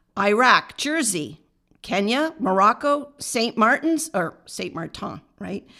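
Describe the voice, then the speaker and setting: A woman's fairly high, bright and sharp voice at a very slow pace, with very wide pitch swings and big swings in loudness, on a very clean recording with a silent background. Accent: American. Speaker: podcast co-host. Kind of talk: casual chat, reading a list aloud.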